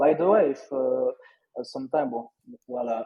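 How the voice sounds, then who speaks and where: A man with a strong French accent at a moderate pace. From France, Lyon. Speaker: NFT trader and entrepreneur. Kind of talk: casual interview chat. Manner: halting, many repetitions and fillers.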